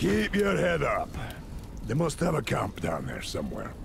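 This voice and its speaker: Over loud background noise, a man does a gruff put-on character voice at a moderate pace. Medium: video game. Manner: gruff, blunt.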